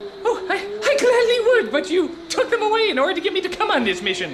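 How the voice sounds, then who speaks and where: Using a put-on character voice, a man speaks very fast at an extremely high pitch, whiny and in a nervous, whiny tone. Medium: comedy sketch. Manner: stammering, nervous, whiny.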